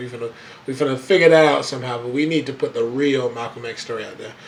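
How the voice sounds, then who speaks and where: Talking at a very fast pace with an American accent, a man is heard over noticeable background noise. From Florida, Daytona Beach. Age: 20s. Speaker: radio host. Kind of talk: radio talk show. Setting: radio studio. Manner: animated, fiery; repetitive, stammering restarts.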